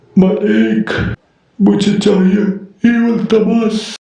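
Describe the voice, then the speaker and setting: This is a cartoonish character voice pitched fairly high. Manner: servile to his master.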